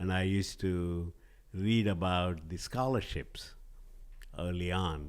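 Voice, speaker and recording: Audible room echo surrounds a voice with a Telugu accent, speaking at a very slow pace with fairly even intonation. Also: man, very deep, low pitch for a man. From southern India. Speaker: organic spice company CEO. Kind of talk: podcast interview.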